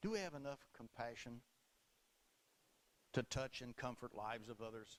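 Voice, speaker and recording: At a moderate pace, a man speaks with a medium pitch. His pitch variation is ordinary. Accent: Southern US. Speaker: Baptist preacher. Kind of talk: sermon delivered to a congregation.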